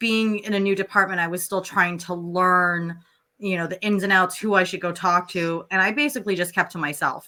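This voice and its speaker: A loud woman speaks with an American accent. She moves at a fairly quick pace with fairly even intonation. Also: medium pitch for a woman. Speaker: emergency dispatcher. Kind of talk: casual chat.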